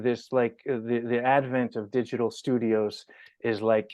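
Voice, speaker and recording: This man talks with a New York accent. His pitch is medium and his pace moderate. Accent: New York American. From New York, US. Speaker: podcast host. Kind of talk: casual interview. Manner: animated.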